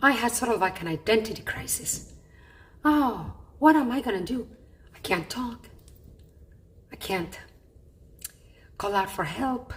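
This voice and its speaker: A woman with a fairly high pitch speaks with lively intonation at a fairly slow pace. Long, frequent pauses break up her speech, and there is noticeable background noise. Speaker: patient vlogger. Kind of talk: personal vlog. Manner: effortful speech.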